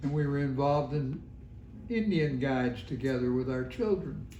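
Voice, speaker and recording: Over audible room echo, a man with a dark, mellow tone speaks somewhat breathily at a moderate pace. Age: 90s. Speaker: longtime resident. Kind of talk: oral history interview. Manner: halting.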